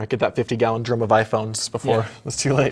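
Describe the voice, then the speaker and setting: A man is speaking. His voice is somewhat breathy. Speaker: improv comedian, news-parody anchor. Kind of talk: comedic mock news anchor banter.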